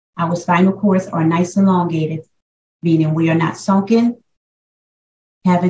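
A woman speaks in a dark, mellow tone at fairly low pitch, somewhat breathy and at a fairly slow pace. Her intonation stays fairly even, and her pauses are long and frequent. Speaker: yoga instructor. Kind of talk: guided yoga class instruction, counting down breaths. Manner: calm countdown of breaths mixed with pushing encouragement.

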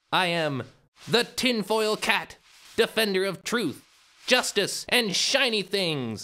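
A man puts on a cartoonish character voice, high-pitched and energetic. He moves at a fairly slow pace with long, frequent pauses. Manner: energetic, grandiose.

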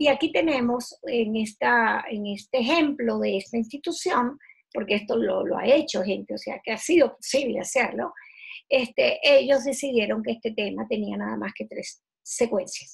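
A woman's voice with a husky, rough edge and vocal fry, at a moderate pace. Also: fairly high pitch for a woman, ordinary pitch variation.

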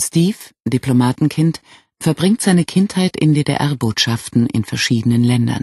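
At a fairly slow pace, a man with a medium pitch, a dark, mellow tone, and a slightly husky edge speaks with lively intonation, the sound dry and close with no echo.

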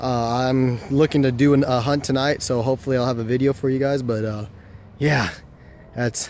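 The voice moves at a moderate pace with monotone, flat intonation, sounding dry with no echo over light background noise. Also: man. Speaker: nature vlogger. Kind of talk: casual vlog chat. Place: garden. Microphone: phone near.

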